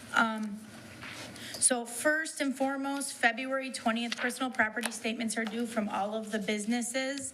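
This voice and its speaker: A loud woman speaks at a high pitch and a moderate pace with fairly even intonation. Audible room echo and noticeable background noise fill the recording. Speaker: township assessor. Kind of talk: departmental report. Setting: township board meeting room.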